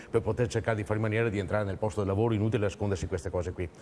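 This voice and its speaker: A man speaks at a very fast pace and a fairly low pitch. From Veneto, Italy. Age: 60s. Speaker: regional political activist. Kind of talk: TV talk show discussion.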